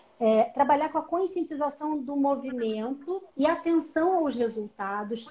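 Lively intonation marks a woman's high voice. She speaks at a fairly slow pace. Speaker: physiotherapist and educator; educator. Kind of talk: online live lecture. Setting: live video stream. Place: home room. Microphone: video call.

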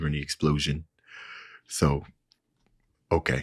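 A man with a very deep, low pitch speaks at a moderate pace in a monotone, flat intonation over a quiet background. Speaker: reaction streamer. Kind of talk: casual reaction commentary. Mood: amused, laughing. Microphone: studio mic.

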